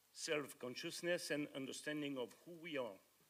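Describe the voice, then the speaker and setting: The speaker has a French accent. The pace is moderate. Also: man. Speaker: conference speaker, author. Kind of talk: conference presentation. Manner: halting.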